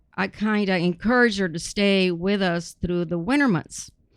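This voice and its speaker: A woman speaks in a South Texas accent. The background is quiet. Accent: South Texas Mexican-American English. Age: 70s. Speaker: retired educator. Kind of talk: casual interview.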